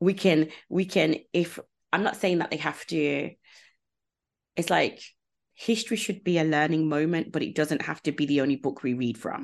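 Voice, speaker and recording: A woman with a very deep, low voice speaks at a moderate pace with ordinary pitch variation. She leaves long, frequent pauses against a quiet background. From UK, Jamaican community. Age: 30s. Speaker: podcast host, consultant. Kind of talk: casual interview chat.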